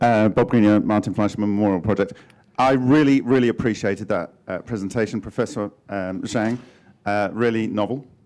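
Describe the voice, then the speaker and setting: In a plain, everyday voice, a man speaks at a fairly quick pace with fairly low pitch and fairly even intonation. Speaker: conference attendee researcher. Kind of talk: conference Q&A.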